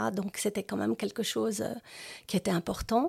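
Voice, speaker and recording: A woman's dark, mellow tone at a medium pitch, with ordinary pitch variation, a dry, close sound with no echo, and a very clean recording with a silent background. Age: 70s. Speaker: retiree sharing life story. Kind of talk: personal testimony interview. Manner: halting, many hesitations.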